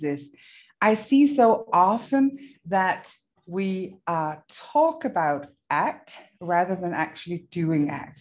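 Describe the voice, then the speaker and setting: A woman speaks with a Danish accent at a medium pitch. Her pitch swings very widely, and the background is quiet. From Denmark. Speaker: therapist trainer. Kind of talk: workshop presentation. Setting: video call from a hotel room.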